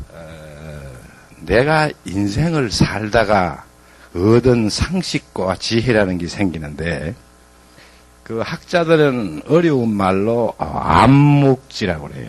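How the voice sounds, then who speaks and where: Over noticeable background noise, a man with a Gyeongsang accent speaks very slowly at a fairly low pitch. His voice makes very wide pitch swings and big swings in loudness. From Gyeongsang, Korea (Gyeongsan). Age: 60s. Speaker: former business executive turned motivational speaker. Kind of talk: motivational talk.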